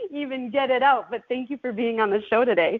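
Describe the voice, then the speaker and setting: A woman with a high pitch speaks with lively intonation. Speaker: podcast host. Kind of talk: podcast interview host.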